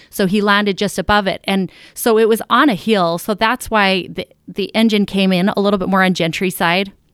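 An unremarkable speaking voice from a woman at medium pitch, moderate pace and fairly even intonation, with hardly any pauses, on a very clean recording with a silent background and a dry, close sound with no echo. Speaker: business founder and plane crash survivor. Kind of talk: casual interview. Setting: in-person studio.

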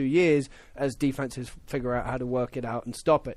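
A man's fairly high voice in an English accent. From England. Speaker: football pundit. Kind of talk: casual sports chat. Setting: studio.

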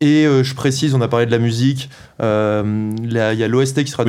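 With a medium pitch and monotone, flat intonation, a man talks at a fairly slow pace. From France, Paris. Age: 30s. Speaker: video game director. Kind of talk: interview.

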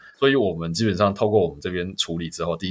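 A man at a very fast pace, with a slight Taiwanese accent. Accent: Taiwanese Mandarin, slightly off. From Taiwan (born Hong Kong). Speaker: startup co-founder and COO. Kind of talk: interview. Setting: remote online recording.

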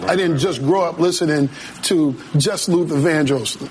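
Over noticeable background noise, someone with an American accent speaks at a fairly quick pace with ordinary pitch variation. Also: man. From Massachusetts. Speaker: DJ. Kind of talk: casual interview.

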